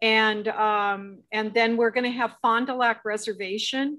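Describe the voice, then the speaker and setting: In a normal speaking voice, a woman talks at a fairly slow pace with a fairly high pitch and fairly even intonation. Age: 60s. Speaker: webinar host. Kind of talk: casual chat.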